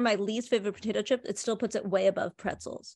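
This is a plain, everyday voice at a fairly quick pace. Its pitch varies in an ordinary way. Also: woman. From US (Indian American). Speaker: art historian and podcaster. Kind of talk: casual chat.

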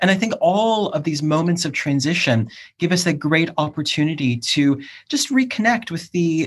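A man speaks with an American accent and lively intonation. His voice is somewhat breathy against a quiet background. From US, Cleveland, Ohio. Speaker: academic and PhD supervisor. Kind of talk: casual chat.

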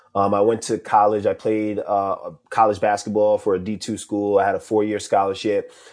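A man with an American accent, a plain, everyday voice at medium pitch, speaking at a fairly slow pace against a quiet background. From New York. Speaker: social media coach. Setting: live audio room.

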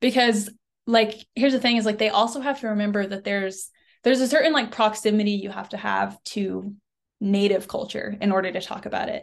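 An unremarkable speaking voice belongs to a woman with an American accent, fairly high in pitch, moving at a fairly quick pace with fairly even intonation over a quiet background. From Oklahoma, US. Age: 20s. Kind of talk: interview. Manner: casual, many fillers.

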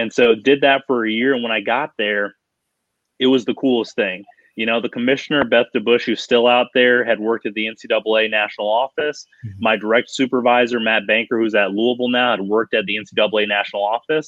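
An ordinary speaking voice from a man with an American accent, medium pitch, fairly even intonation, fairly quick pace. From Colorado. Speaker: college athletics compliance consultant. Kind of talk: interview conversation.

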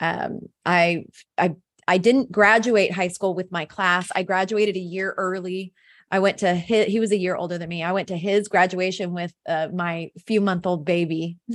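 An unremarkable speaking voice at a moderate pace, fairly even intonation, quiet background. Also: woman, medium pitch for a woman. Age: 40s. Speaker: faith-based business coach and founder. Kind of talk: casual interview.

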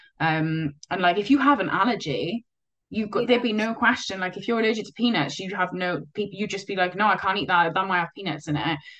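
A woman with a Cardiff accent, medium pitch and ordinary pitch variation, at a very fast pace, with big swings in loudness. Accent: Welsh (Cardiff area). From Wales, Cardiff. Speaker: roller derby player with type 1 diabetes. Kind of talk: casual interview.

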